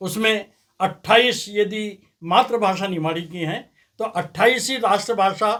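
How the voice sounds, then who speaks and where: A man is speaking with ordinary pitch variation. The recording is very clean, with a silent background. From India, Nimar region (Madhya Pradesh). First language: Nimari (speaking Hindi). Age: 70s. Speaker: author. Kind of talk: interview. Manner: formal.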